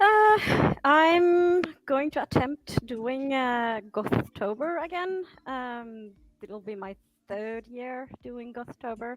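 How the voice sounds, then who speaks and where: A woman speaks at a very slow pace with a high pitch. Her pitch swings very widely and her loudness rises and falls in big swings. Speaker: booktuber. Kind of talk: casual group chat. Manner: halting.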